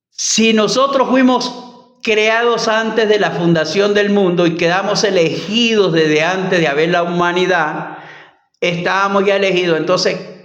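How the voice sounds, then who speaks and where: A man speaks at a high pitch with very even loudness. Audible room echo surrounds his voice. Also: ordinary pitch variation, fairly slow pace. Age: 60s. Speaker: bible teacher. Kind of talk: bible study teaching. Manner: halting.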